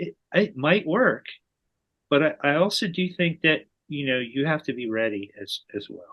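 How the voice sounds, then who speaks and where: An American man talks with a fairly high pitch and very wide pitch swings. His loudness jumps up and down a lot. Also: moderate pace. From New Jersey. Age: 60s. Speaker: person in alcohol recovery. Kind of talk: casual interview chat.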